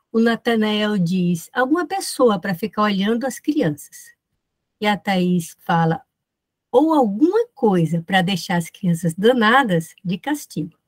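A woman's somewhat breathy voice with lively intonation at a fairly slow pace, against a quiet background. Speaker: professor. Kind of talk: academic lecture. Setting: video call. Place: home room.

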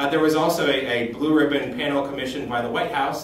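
With audible room echo and light background noise, a man talks at a very fast pace with ordinary pitch variation. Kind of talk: informal news recap. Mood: upbeat festive. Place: office. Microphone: camera far.

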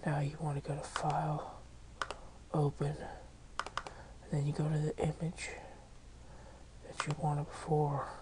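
Noticeable noise sits behind speech that proceeds fairly slowly. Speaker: software tutorial maker. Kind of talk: screen-recorded software tutorial. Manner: casual.

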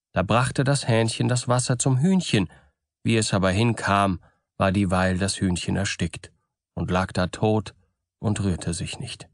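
Against a quiet background, a man with a fairly low pitch and ordinary pitch variation speaks at a fairly slow pace, taking long, frequent pauses. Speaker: audiobook narrator. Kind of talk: bedtime story reading of fairy tales, scripted narration.

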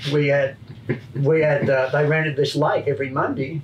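A man speaks at a moderate pace with a fairly high pitch. Light background noise can be heard. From Australia. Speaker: retired motorcycle racer and crew chief. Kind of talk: casual chat.

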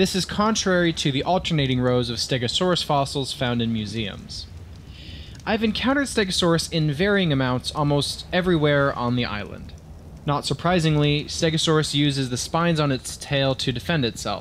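A man at a fairly high pitch, fairly quick in pace, with lively intonation. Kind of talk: dramatic reading of a video game creature entry. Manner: dramatic.

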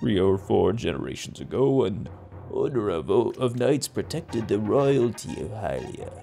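Against clear background noise, a man puts on a character voice at a moderate pace. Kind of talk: storytelling.

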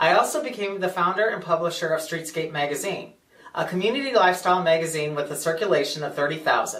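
The speech comes at a very fast pace with a Midwestern American accent. Pitch varies in an ordinary way. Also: man, high pitch for a man. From US Midwest, St. Charles, Missouri; Missouri. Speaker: political candidate; candidate. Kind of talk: campaign speech. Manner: formal. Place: office.

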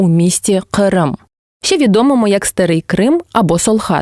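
The woman's tone is dark and mellow. Her intonation is lively. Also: dry, close sound with no echo. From Crimea, southern coast. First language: Crimean Tatar (speaking Ukrainian). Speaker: language teacher and translator. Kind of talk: scripted educational narration.

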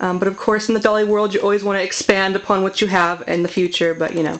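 A woman speaks at a very fast pace with fairly even intonation. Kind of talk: casual vlog chat. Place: home room.

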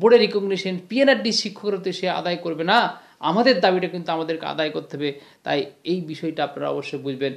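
The background is quiet. A man talks at a high pitch with ordinary pitch variation. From West Bengal, India. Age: 30s. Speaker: teacher and union activist running a news channel; teacher, union activist running a news channel. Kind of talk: monologue video commentary. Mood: earnest, pleading. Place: home room. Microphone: lapel.

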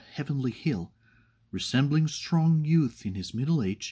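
Somewhat breathy, fairly high male voice with a dark, mellow tone, very wide pitch swings and a fairly slow pace over a quiet background. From Spain. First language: Spanish. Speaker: poetry reader. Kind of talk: poetry reading. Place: home room. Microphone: webcam.

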